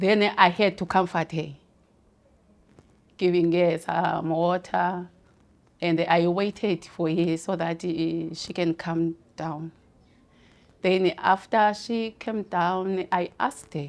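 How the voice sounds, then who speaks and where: Very slowly and with long, frequent pauses, a woman speaks in a fairly low voice with fairly even intonation. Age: 40s. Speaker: community care worker. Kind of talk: testimony. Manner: hesitant, some fillers.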